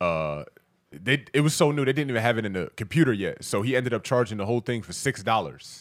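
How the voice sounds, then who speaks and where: In a very clean recording with a silent background, a man with an American accent talks at a very fast pace and medium pitch, his tone animated, his intonation lively, with vocal fry. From Baltimore, US. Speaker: comedian and podcast host. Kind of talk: casual chat. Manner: animated, casual.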